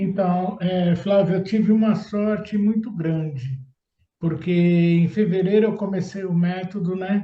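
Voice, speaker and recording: Speaking at a fairly slow pace, a man with a high pitch and a dark, mellow tone keeps his intonation fairly even. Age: 60s. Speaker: procurement consultant. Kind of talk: testimonial interview.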